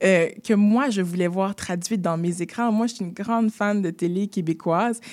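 A woman speaks at a moderate pace with a medium pitch. Her intonation stays fairly even. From Quebec, Haitian family. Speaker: actress and screenwriter. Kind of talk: interview.

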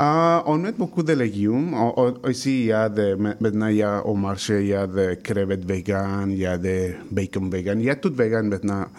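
A man's fairly low voice moves at moderate speed, its pitch varying in an ordinary way. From Mexico. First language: Spanish (speaking French). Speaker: chef. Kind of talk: interview.

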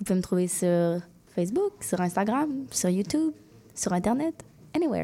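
In a Quebec accent, the voice has a dark, mellow tone and very wide pitch swings. Loudness stays very even, with long, frequent pauses. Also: woman, medium pitch for a woman, moderate pace. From Quebec City, Limoilou. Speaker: singer and rapper. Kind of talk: radio interview.

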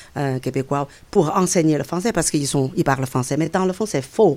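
Woman with a very deep, low pitch and lively intonation. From China, Beijing. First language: Chinese (speaking French). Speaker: immigrant guest. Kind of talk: interview. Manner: halting.

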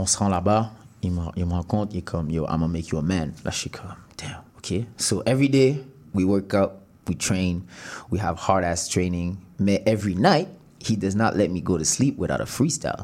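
A man's very deep, low voice with ordinary pitch variation, a moderate pace, and long, frequent pauses. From Montreal, Quebec. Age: 20s. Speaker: rapper. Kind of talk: interview.

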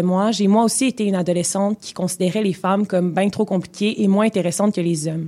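A woman rattles through her words at a very fast pace on a very clean recording with a silent background. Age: 20s. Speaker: radio columnist. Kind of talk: scripted column reading. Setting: radio studio.

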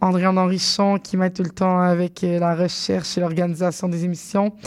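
The delivery comes at a moderate pace in an unremarkable speaking voice. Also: woman. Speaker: radio host. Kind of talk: radio show hosting. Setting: studio.

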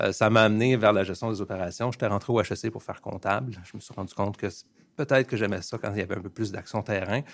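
A man with a Quebec accent talks very fast at a fairly low pitch. His intonation stays fairly even while his loudness swings widely. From Montreal, Quebec. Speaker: management consultant. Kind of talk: radio interview.

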